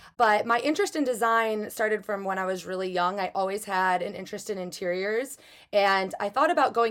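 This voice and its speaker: A woman with an American accent speaks in a plain, everyday voice at medium pitch, using ordinary pitch variation. The recording is very clean, with a silent background. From Chicago, US Midwest. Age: 20s. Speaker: prop stylist. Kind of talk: interview.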